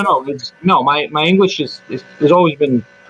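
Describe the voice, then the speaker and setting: The speaker has a strong Eastern European accent and a moderate pace. The sound is dry and close with no echo, though noticeable background noise is present. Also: man. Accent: thick Eastern European. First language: Serbian. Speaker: hospitality worker. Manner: hesitant, many fillers.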